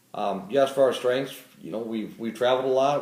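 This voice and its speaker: A man with an American accent talks at a very fast pace, with audible echo in the room. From Florida. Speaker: casting applicant. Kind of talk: casting video self-introduction.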